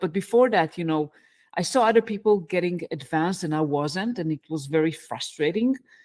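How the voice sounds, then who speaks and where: A woman with an Israeli accent and fairly low pitch comes through a dry, close sound with no echo on a very clean recording with a silent background. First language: Hebrew. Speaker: leadership coach, former engineering director. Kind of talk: podcast interview. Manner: halting.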